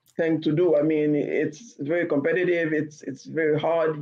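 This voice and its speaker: A woman with a Haitian accent, very deep and low in pitch, fairly even in intonation, at a fairly slow pace. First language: Haitian Creole. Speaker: novelist. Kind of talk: interview. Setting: podcast.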